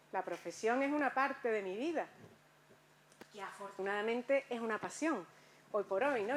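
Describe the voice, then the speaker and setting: A woman with a fairly high pitch and ordinary pitch variation speaks at a moderate pace, leaving long, frequent pauses. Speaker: conference speaker. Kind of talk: lecture.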